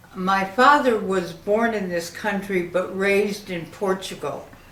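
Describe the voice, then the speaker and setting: With audible room echo and noticeable background noise, a woman speaks very slowly with ordinary pitch variation. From Connecticut, Hartford. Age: 70s. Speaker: elderly woman telling her life story. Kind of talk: life story monologue. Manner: halting, with frequent fillers.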